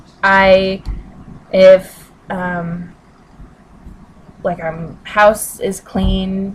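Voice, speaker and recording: A woman talks at a medium pitch while noticeable background noise plays behind her. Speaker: vlogger. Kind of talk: casual chat. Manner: halting.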